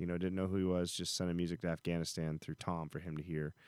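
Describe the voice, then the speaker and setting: Recorded very cleanly with a silent background, a man speaks at a very deep, low pitch. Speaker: country musician. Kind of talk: casual chat. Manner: animated.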